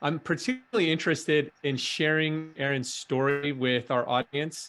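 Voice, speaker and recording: This man has an ordinary speaking voice, fairly high in pitch with ordinary pitch variation, very even loudness and a moderate pace. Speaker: podcast host, startup founder. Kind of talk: interview host questions.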